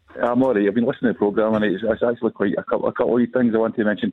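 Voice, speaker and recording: A man's fairly low voice in a Glaswegian accent. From Glasgow. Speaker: football fan caller. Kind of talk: radio phone-in. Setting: phone call.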